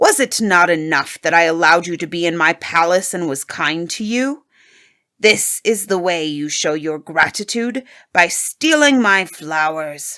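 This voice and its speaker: A woman's put-on character voice, fairly low in pitch, at a moderate pace. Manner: angry, accusing.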